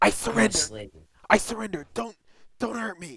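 A put-on character voice, raspy and fairly high in pitch, speaks at a moderate pace. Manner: begging, pleading, shaky.

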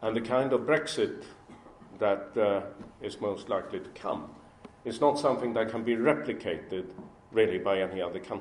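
Light background noise and audible room echo surround a man speaking at a medium pitch with ordinary pitch variation. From Sweden. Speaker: business executive; speaker. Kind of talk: speech to an audience. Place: hall. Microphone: podium.

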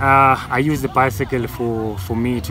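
Crowd noise sits behind a man whose pitch varies in an ordinary way, in a dry sound with no echo. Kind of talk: interview answer. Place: garden.

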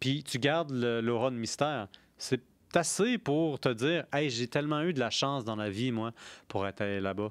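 Against a quiet background, a man speaks fairly slowly with ordinary pitch variation, the sound dry with no echo. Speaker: podcast host on beer history and philosophy; podcast host on beer history. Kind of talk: casual chat. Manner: animated. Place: studio. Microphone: studio mic.

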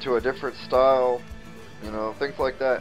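A man's voice with ordinary pitch variation, faint music in the background. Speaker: hobbyist vlogger. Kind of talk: casual vlog chat. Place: garage. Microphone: phone near.

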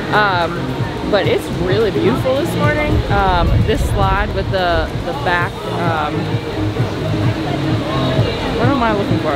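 A woman speaks over loud background music. The sound is dry, with no echo. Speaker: travel vlogger. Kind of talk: casual vlog chat. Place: boat. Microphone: phone near.

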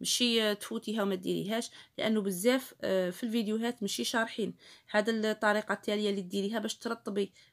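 Over a quiet background, a woman with an Algerian accent speaks at a moderate pace in a fairly high pitch with monotone, flat intonation. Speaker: cooking YouTuber. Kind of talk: tutorial. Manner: casual. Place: kitchen. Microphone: phone near.

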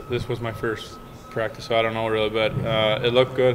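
Faint music plays in the background. A man speaks with monotone, flat intonation. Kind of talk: interview answer. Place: hall. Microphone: handheld.

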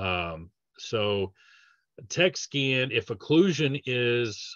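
A slow-paced man with a fairly bright tone and ordinary pitch variation.

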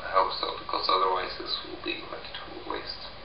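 A mumbling man is heard with audible room echo and light background noise. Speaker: vlogger. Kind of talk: casual vlog chat. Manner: drunk, mumbling, rambling. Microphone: webcam.

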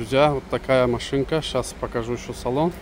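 Over noticeable background noise, a man speaks with fairly even intonation in a dry sound with no echo. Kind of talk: car walkaround promo commentary. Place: street. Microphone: phone near.

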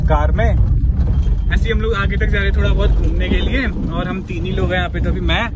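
A man speaks at a moderate pace. The sound is dry with no echo, over loud background noise. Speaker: vlogger. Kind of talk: casual vlog chat.

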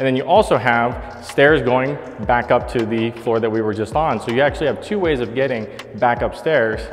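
A man speaks at a moderate pace with ordinary pitch variation. Faint music sits in the background. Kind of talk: property tour commentary. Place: home room.

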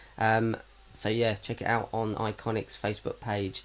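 A man speaks at a fairly low pitch in a monotone, flat intonation. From Norfolk, England. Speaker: podcast co-host. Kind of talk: casual chat.

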